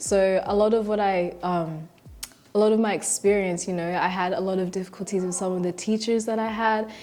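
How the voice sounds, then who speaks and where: A woman with an Australian accent, fairly quick and monotone, flat in intonation. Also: medium pitch for a woman. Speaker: tutor and university student. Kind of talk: documentary interview.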